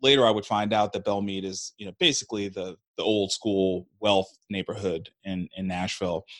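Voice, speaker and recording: With an American accent, an ordinary speaking voice moves at a moderate pace with hardly any pauses. Intonation stays fairly even, and the sound is dry and close with no echo. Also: man, fairly low pitch for a man. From New York, Brooklyn. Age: 40s. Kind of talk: interview.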